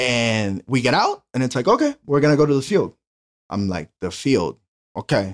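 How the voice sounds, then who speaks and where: A man with a Honduran accent uses lively intonation, recorded with a dry, close sound and no echo. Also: medium pitch for a man, moderate pace. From Honduras. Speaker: cleaning business owner. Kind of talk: casual interview, storytelling.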